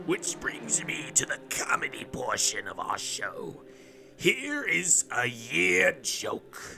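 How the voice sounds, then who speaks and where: In a put-on character voice, the speaker goes very slowly with a creaky, raspy, theatrical tone. Clear background noise runs underneath. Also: man. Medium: read story. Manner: theatrical, rambling.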